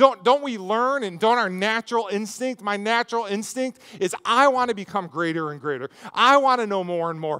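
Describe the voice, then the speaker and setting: At a fairly quick pace, a man speaks in a raised, projected voice. His pitch varies in an ordinary way. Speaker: preacher. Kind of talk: sermon. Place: stage. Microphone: headset.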